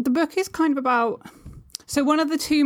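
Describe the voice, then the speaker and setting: A woman speaks with a southern English accent at a moderate pace. The recording is very clean, with a silent background. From England, Suffolk. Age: 20s. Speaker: poet and publisher. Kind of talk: casual chat.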